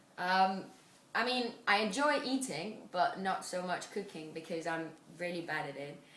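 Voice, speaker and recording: Noticeable background noise and audible room echo fill the recording. Through it, a woman talks at a moderate pace. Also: medium pitch for a woman, lively intonation. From Spain. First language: Spanish. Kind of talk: interview answers.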